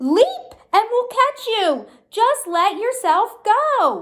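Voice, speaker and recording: A woman's put-on character voice, squeaky and loud, extremely high in pitch with very wide pitch swings, at a very slow pace. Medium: read story. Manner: loud, cheery.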